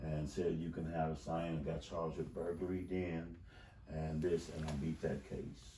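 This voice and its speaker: Through audible room echo, a man with a very deep, low pitch and a dark, mellow tone speaks in a monotone, flat way. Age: 60s. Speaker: wrongful conviction advocate. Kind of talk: interview. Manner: halting.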